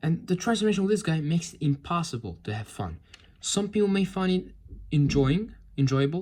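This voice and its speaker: Someone with a non-native accent speaks at a fairly quick pace. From outside America. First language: not English. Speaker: toy reviewer. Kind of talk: product review. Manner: halting; casual.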